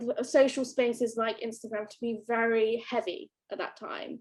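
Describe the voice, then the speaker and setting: A woman speaks loudly at a fairly high pitch with fairly even intonation. Her moderate pace is broken by long, frequent pauses. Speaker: artist. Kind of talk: panel conversation. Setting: live stream.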